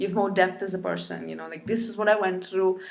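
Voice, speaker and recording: A woman's medium-pitched voice with a non-native accent, in audible room echo. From India. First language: not English. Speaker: podcast host. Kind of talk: casual interview chat.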